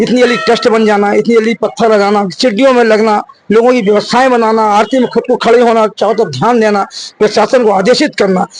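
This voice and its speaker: A man's high-pitched voice. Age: 60s. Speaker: local community member. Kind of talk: interview.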